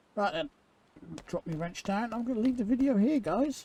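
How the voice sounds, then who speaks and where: A man with an English accent and a dark, mellow tone. His pitch swings very widely at a fairly quick pace. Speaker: gaming YouTuber. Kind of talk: gameplay commentary. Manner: casual, hurried.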